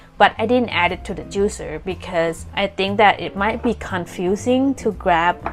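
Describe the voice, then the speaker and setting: This speaker talks at a moderate pace with a non-native accent. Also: woman. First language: not English. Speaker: ceramic artist. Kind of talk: tutorial narration.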